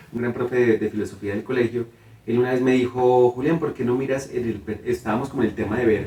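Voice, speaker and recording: Talking at a very fast pace, a man has a dark, mellow, somewhat breathy tone at medium pitch with fairly even intonation. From Colombia, Cartago, Valle del Cauca (coffee region). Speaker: theatre director and playwright. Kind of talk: interview.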